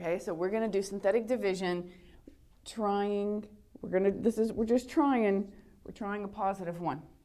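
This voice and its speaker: A woman talks in a normal speaking voice at a medium pitch. Her pitch variation is ordinary. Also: moderate pace. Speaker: high school math teacher. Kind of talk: lecture.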